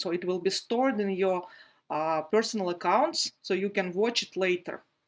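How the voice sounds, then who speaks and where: A woman with a non-native accent speaks at a fairly slow pace. Her pitch varies in an ordinary way. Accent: non-native English, noted by self. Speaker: felting teacher. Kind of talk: live online workshop tutorial. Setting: livestream video broadcast. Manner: frequent hesitations (uh, um).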